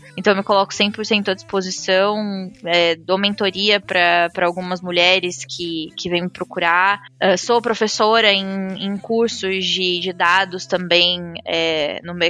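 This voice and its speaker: With an ordinary speaking voice, a woman at medium pitch talks at a fairly slow pace with fairly even intonation and hardly any pauses. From interior of São Paulo state, Brazil. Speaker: business data analyst. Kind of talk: casual panel conversation.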